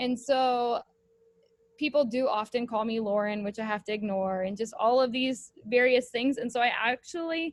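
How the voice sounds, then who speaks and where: The voice is loud, with an American accent. It moves at a moderate pace with ordinary pitch variation. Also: woman. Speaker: high school home ec teacher. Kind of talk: casual discussion. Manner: hesitant, many fillers.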